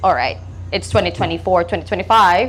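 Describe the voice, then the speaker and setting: A woman is speaking with music in the background. The room gives her voice an audible echo. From Philippines. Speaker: stand-up comedian. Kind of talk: stand-up. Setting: stage with audience. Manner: halting, many ums.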